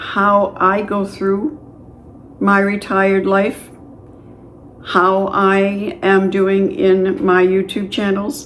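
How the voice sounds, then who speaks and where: Speaking very slowly, a woman at medium pitch leaves long, frequent pauses. Her intonation is fairly even, and the room echo is audible. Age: 60s. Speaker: retired YouTuber starting a channel. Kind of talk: casual vlog talk to camera. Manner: conversational with fillers.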